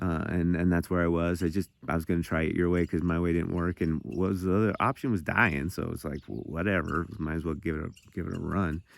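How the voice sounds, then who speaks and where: A man with an American accent and a very deep, low pitch speaks at a very fast pace with ordinary pitch variation and hardly any pauses, in a very clean recording with a silent background. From Montana. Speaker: recovering addict sharing testimony. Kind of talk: testimony. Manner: halting, repeating words.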